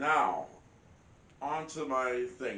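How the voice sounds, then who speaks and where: The voice belongs to a man and has a bright, sharp tone. Audible echo from the room surrounds it. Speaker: hunting and outdoors vlogger. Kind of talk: casual vlog talk to camera. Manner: halting, many fillers and repeats.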